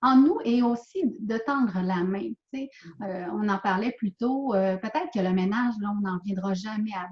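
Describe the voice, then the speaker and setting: Speaking in a Quebec accent, a woman uses a medium pitch with ordinary variation, talking at a fairly slow pace with big swings in loudness. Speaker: author and speaker. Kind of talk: interview answer.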